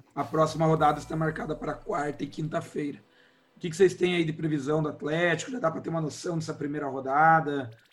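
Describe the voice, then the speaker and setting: A man speaks very fast. He is pitched fairly high. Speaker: football podcast host. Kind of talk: casual chat.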